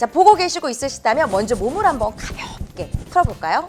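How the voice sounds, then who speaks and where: Music plays behind a woman as she talks. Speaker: announcer and speech coach. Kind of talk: speech training lecture.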